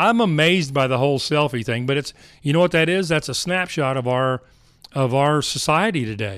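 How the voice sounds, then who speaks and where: With an American accent and an unremarkable speaking voice, a man talks at a fairly quick pace in a fairly high pitch with lively intonation. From Texas, Dallas area. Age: 50s. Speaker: mergers and acquisitions advisor, ministry worker. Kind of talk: interview.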